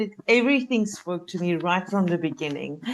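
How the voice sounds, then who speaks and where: In a South African accent, a woman speaks with lively intonation against a quiet background. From South Africa, Cape Town. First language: Afrikaans. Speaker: life coach. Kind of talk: podcast interview.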